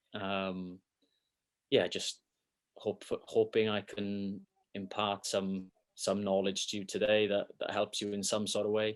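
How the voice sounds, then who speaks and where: Against a quiet background, a man with a fairly low pitch talks at a fairly slow pace in a monotone, flat intonation, leaving long, frequent pauses. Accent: Welsh. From Wales, Swansea. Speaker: football academy performance coach. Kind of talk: interview.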